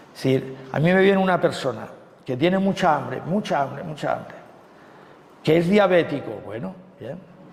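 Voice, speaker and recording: Lively intonation and a moderate pace come with big swings in loudness and long, frequent pauses, over noticeable background noise and audible room echo. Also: man, fairly high pitch for a man. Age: 60s. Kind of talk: sermon. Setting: retreat talk. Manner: conversational with frequent fillers.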